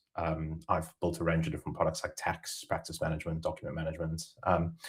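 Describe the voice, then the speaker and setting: This is a man speaking. He has a South African accent. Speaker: software company co-founder. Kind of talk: webinar presentation. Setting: video webinar.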